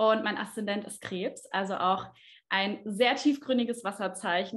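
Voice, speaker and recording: A woman with an unremarkable speaking voice talks at a fairly slow pace with fairly even intonation. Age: 20s. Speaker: astrologer and trained speech therapist. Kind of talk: interview.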